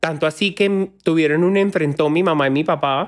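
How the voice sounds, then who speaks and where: In a very clean recording with a silent background, a man with a high pitch speaks at a fairly quick pace in an animated tone, his pitch varying in an ordinary way. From Colombian Caribbean coast, Sincelejo. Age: 30s. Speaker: social media creator. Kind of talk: casual chat.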